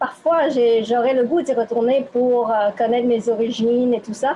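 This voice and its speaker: A woman with a Quebec accent speaks at a high pitch and a fairly slow pace over noticeable background noise. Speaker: interviewee. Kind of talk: interview. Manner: hesitant.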